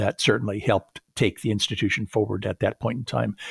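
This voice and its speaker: With an American accent and vocal fry, a man speaks at a fairly low pitch in a dry, close sound with no echo. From Southern California. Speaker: retired college president and author. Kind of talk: interview. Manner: hesitant with many fillers.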